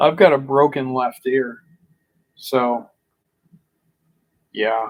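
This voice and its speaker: Very slow pacing from a man, his intonation fairly even. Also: medium pitch for a man. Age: 40s. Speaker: vlogger. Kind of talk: casual monologue. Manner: frustrated venting.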